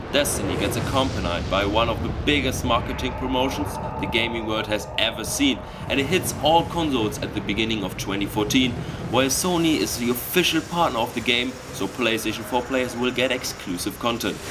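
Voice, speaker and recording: A man with a German accent talks fairly quickly at a medium pitch, with ordinary pitch variation. Room echo is audible, and background noise is noticeable. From Germany. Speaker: gaming video creator. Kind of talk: scripted narration.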